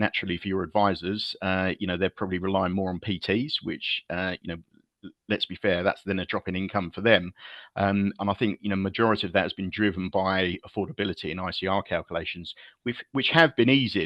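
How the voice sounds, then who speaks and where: His pitch is very deep and low. The man talks at a fairly quick pace. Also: fairly even intonation. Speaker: mortgage lender sales head. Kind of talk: interview.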